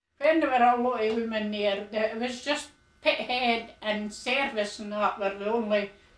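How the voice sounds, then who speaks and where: A woman with a Scottish accent speaks at a fairly slow pace in a fairly high pitch, with noticeable background noise behind her. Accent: Fife Scots. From Scotland, Fife (Lochgelly). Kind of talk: interview testimony.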